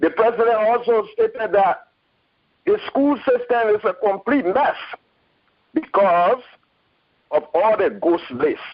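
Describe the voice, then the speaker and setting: A man with a high pitch speaks at a fairly slow pace with lively intonation, very even loudness and long, frequent pauses. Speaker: caller. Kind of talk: call-in comment. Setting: phone call.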